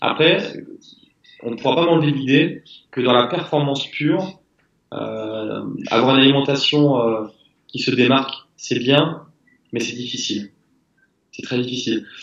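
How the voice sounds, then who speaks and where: A man's medium-pitched voice with vocal fry, a fairly slow pace, long and frequent pauses, and ordinary pitch variation. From southwest France. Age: 30s. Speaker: crossfit athlete, retired soldier. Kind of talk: interview.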